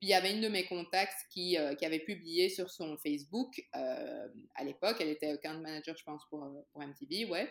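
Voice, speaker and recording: A woman with an ordinary speaking voice and fairly low pitch talks at a moderate pace with hardly any pauses, lively intonation and big swings in loudness. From Belgium, Brussels. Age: 30s. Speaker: entrepreneur and TV presenter. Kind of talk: interview.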